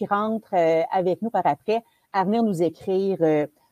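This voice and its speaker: In an ordinary speaking voice, the speaker goes at a fairly slow pace with lively intonation, and the sound is dry and close with no echo. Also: woman. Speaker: webinar host. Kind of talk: event introduction. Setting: webinar.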